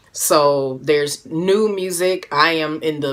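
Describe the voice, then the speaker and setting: Noticeable background noise sits behind a woman with a very deep, low pitch. Her tone is animated, with lively intonation. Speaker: music producer and live streamer. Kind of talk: casual live stream chat.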